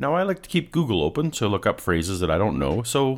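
Using vocal fry and very wide pitch swings, a man speaks at a moderate pace. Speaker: YouTube commentator debunking creationist claims. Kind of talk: scripted video commentary, critical.

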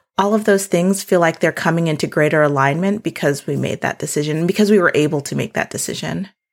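Vocal fry at a very fast pace with hardly any pauses, ordinary pitch variation and an American accent. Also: woman, fairly low pitch for a woman. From South Dakota, US Midwest. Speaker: homesteader and land steward. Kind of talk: casual interview conversation.

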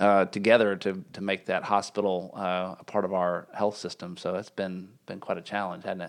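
With hardly any pauses, a man of very deep, low pitch speaks at a moderate pace in a monotone, flat intonation. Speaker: health system CEO hosting podcast. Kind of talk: casual interview.

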